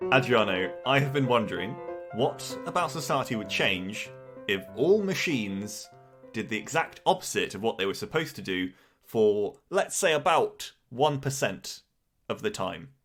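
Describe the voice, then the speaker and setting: With music in the background, the speaker moves at a moderate pace through very wide pitch swings. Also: man, medium pitch for a man. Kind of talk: casual banter between two podcast hosts.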